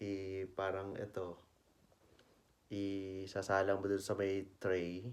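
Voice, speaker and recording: A soft-spoken man with a very deep, low pitch. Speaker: travel vlogger. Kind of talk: casual vlog narration. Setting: indoors at home. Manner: soft-spoken, lowered voice.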